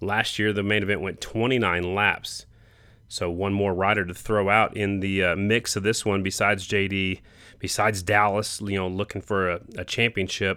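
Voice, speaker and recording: On a very clean recording with a silent background, a man with a fairly low pitch talks at a moderate pace in a bright, sharp tone with monotone, flat intonation. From South Dakota. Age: 50s. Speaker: motorsport podcast host. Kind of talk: solo podcast recap. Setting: cabin during rally. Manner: casual.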